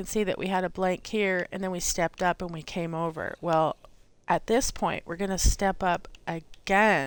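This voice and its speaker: A woman speaks at a moderate pace with an unremarkable speaking voice. Her loudness swings widely on a very clean recording with a silent background. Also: medium pitch for a woman, fairly even intonation. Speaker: gaming tutorial streamer. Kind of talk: tutorial.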